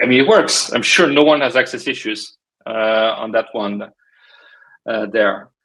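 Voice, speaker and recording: A man with a French accent speaks at a fairly slow pace with long, frequent pauses, in a medium-pitched voice with a bright, sharp tone. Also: ordinary pitch variation. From France. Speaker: cybersecurity startup technologist. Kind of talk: casual podcast interview. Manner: hesitant, many fillers.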